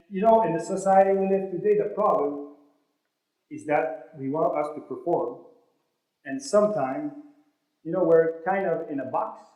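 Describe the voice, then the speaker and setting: Amid audible room echo, a high-pitched man with a French accent speaks with long, frequent pauses. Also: ordinary pitch variation, moderate pace. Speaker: motivational speaker. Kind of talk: motivational speech. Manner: animated.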